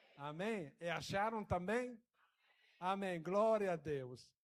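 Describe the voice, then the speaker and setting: Here a man speaks at a high pitch with ordinary variation. His pace is very slow. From Italy. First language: Italian (speaking Portuguese). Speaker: guest preacher. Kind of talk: sermon. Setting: church. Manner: halting.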